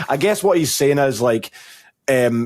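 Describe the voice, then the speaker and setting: In a Scottish accent, a man speaks at a moderate pace. The sound is dry and close, with no echo. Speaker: esports podcast co-host. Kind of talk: casual chat.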